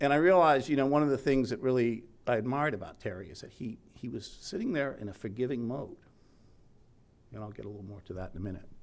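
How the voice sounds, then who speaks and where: A very fast man with an American accent, lively intonation, and big swings in loudness. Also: medium pitch for a man. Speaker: journalist, eulogy speaker. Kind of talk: memorial speech. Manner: casual, conversational.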